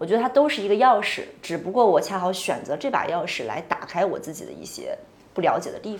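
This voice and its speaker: With a normal speaking voice, a woman talks at a fairly quick pace and medium pitch. Her intonation is lively. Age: 20s. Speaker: podcast host. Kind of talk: casual chat. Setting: office.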